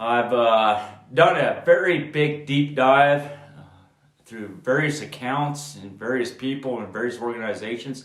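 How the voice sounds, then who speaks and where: Rather unhurried talk in an echoing room, its pitch varying in an ordinary way. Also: man. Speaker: horseman and tack educator. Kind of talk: tutorial. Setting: indoors at home. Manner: casual, hesitant with fillers.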